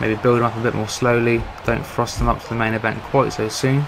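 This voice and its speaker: With audible room echo and noticeable background noise, a man in a British accent talks at a fairly quick pace, medium pitch and monotone, flat intonation. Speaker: gaming YouTuber doing wrestling commentary. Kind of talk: casual video commentary.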